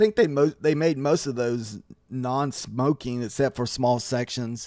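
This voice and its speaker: Recorded very cleanly with a silent background, a man speaks at a fairly slow pace and medium pitch with a dark, mellow tone and ordinary pitch variation. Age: 40s. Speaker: day trader streaming live trades. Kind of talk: casual live-stream chat. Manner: relaxed, conversational with fillers.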